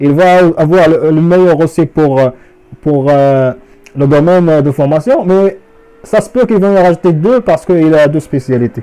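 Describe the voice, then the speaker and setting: In a dark, mellow tone, a man speaks at a fairly slow pace with ordinary pitch variation and very even loudness. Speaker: immigration advisor. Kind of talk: tutorial. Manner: halting, many fillers.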